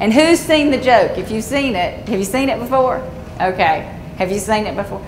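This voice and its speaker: A moderate pace and lively intonation, set against noticeable background noise and audible room echo. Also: woman. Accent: Southern US. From Georgia, US South. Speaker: conservation engineer. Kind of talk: seminar presentation.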